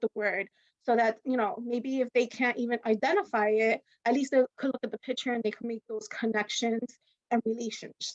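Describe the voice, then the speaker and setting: A woman speaks at a high pitch with fairly even intonation. The sound is dry and close, with no echo. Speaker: teacher giving a workshop. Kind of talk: webinar presentation. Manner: fast; conversational, filler-heavy.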